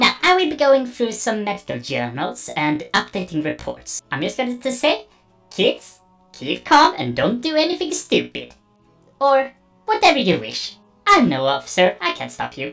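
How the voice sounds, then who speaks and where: Over faint music in the background, someone performs a put-on character voice at a moderate pace. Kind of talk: formal synthetic speech. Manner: precise, deadpan.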